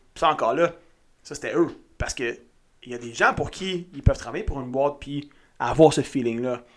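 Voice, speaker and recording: A man talks at a moderate pace with ordinary pitch variation, recorded very cleanly against a silent background. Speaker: podcast co-host, entrepreneur. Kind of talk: casual chat.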